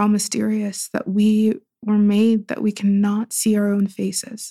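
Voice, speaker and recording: A woman with an American accent speaks at medium pitch and a fairly slow pace, in a somewhat breathy voice with a dark, mellow tone. Her intonation is monotone and flat, and the sound is dry and close with no echo. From US, Pittsburgh. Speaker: writer and poet. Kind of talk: casual interview conversation.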